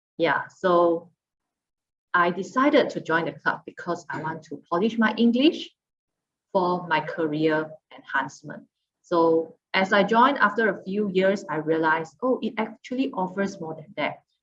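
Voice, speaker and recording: A woman with a non-native accent talks at a moderate pace and medium pitch, her intonation lively and her loudness swinging widely. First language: Mandarin. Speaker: public speaking club member. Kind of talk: informational talk.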